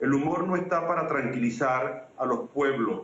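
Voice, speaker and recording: A man speaks with a Venezuelan accent against noticeable background noise. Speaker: political scientist and comedian. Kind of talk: interview answer.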